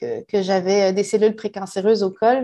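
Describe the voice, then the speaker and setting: With a dark, mellow tone and a fairly high pitch, a woman speaks at a moderate pace against a quiet background. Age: 40s. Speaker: human resources professional. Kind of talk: personal testimony. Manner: halting.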